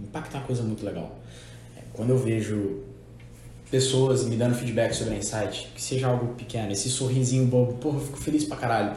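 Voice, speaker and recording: Over noticeable background noise and audible room echo, a man speaks very fast at a medium pitch with ordinary pitch variation. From Minas Gerais. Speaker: podcast host. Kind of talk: casual chat.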